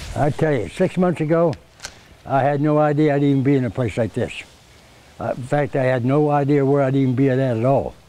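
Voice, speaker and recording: A man with a fairly high pitch and ordinary pitch variation, fairly quick pace and very even loudness, over noticeable background noise. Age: 70s. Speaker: Navy veteran, formerly homeless. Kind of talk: interview soundbites.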